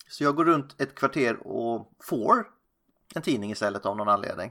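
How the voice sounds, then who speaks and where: With very wide pitch swings, a man speaks in a bright, sharp tone on a very clean recording with a silent background. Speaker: film podcast host. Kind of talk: casual chat.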